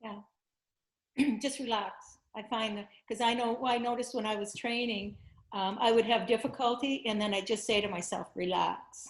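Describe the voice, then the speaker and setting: A woman with a plain, everyday voice speaks at a moderate pace, her fairly high pitch held in fairly even intonation. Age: 60s. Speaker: blindfold vision teacher. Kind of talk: interview.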